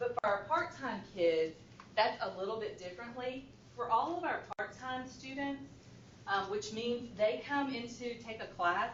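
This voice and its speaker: A woman speaks at a fairly slow pace with lively intonation and a fairly high pitch. There is audible room echo and noticeable background noise. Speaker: school administrator presenting to education board. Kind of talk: presentation.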